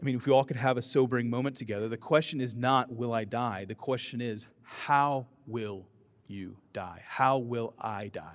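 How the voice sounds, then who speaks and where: A man's unremarkable speaking voice, medium in pitch, with ordinary pitch variation and a moderate pace. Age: 40s. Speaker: pastor. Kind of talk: sermon.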